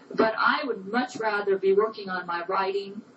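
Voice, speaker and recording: A woman talks at a moderate pace in a fairly high pitch, with noticeable background noise present. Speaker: personal testimony speaker. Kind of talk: recorded personal statement.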